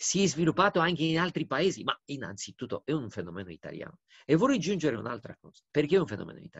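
A man talks at a very fast pace in a fairly high voice with vocal fry, over a quiet background. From Romania. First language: Romanian (speaking Italian). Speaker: diplomat; interviewee. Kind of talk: interview; interview answer. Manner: hesitant, with fillers. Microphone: video call.

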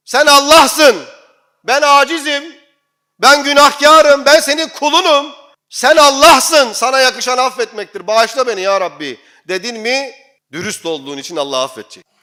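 A man with an extremely high pitch and a bright, sharp tone uses a raised, projected, animated voice at a moderate pace with ordinary pitch variation, on a very clean recording with a silent background. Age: 40s. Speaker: imam. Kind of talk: sermon.

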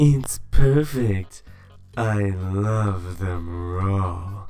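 In a put-on character voice pitched fairly low, a man delivers his lines in a dramatic tone, with faint music in the background. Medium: fan dub. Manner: flirtatious, sultry, dramatic.

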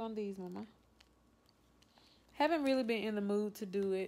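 Speaking at a moderate pace with ordinary pitch variation, a woman leaves long, frequent pauses. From Louisiana. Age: 20s. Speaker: vlogger. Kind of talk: casual talk to camera. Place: home room. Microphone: phone near.

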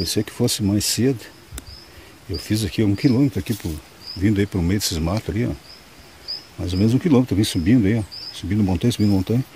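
A man with a fairly low pitch talks at a very fast pace broken by long, frequent pauses, with noticeable background noise. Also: ordinary pitch variation. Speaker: stone prospecting vlogger. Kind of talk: outdoor vlog narration. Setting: outdoors in the woods. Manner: casual, filler-heavy.

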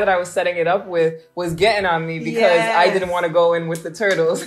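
A woman with an American accent talks at a fairly quick pace in a fairly low pitch, with faint music in the background. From United States. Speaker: travel vlogger host. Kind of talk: casual talk to camera. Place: home room.

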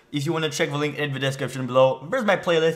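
A man talks with fairly even intonation. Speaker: movie reaction channel host. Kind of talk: casual vlog chat. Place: home room.

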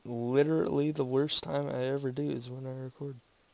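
This man's medium-pitched voice moves at a moderate pace with fairly even intonation. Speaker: gaming video creator. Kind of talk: gameplay commentary, casual chat. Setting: online voice call. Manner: halting.

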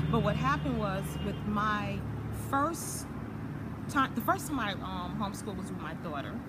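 Loud background noise surrounds a woman with an American accent. She keeps a moderate pace with long, frequent pauses. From US Virgin Islands. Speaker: actress and entrepreneur. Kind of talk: casual interview. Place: garden. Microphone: phone near.

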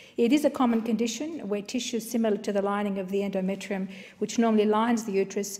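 Talking at a very fast pace, a woman with an Australian accent keeps her intonation fairly even. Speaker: member of parliament. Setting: parliament chamber. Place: hall. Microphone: podium.

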